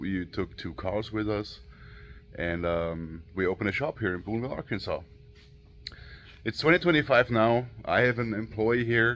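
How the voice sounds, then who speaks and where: A man speaks at a fairly low pitch with an Austrian accent. His pace is fairly slow and his intonation lively. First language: German. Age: 30s. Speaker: auto shop owner and YouTuber. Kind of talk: casual vlog talk. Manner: halting, many fillers.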